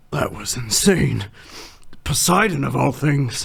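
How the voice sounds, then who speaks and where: Putting on a raspy character voice, a man speaks at a medium pitch. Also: fairly slow pace. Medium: audio drama.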